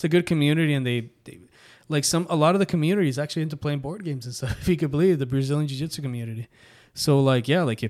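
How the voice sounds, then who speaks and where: In a very clean recording with a silent background, a man speaks very fast at a fairly high pitch with ordinary pitch variation. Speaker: podcast host. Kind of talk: casual chat. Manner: animated.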